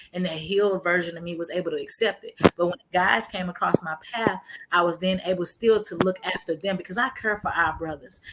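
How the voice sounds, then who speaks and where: A woman speaks at a fairly quick pace and medium pitch in an animated tone. Noticeable background noise is present. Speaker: testimony guest on a faith broadcast. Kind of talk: testimony. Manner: fast.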